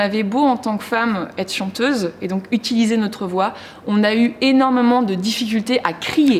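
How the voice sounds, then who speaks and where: Speaking at a moderate pace, a woman uses a fairly high pitch with ordinary pitch variation against noticeable background noise. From France, provinces. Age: 30s. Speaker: performance artist. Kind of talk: interview. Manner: loud; halting.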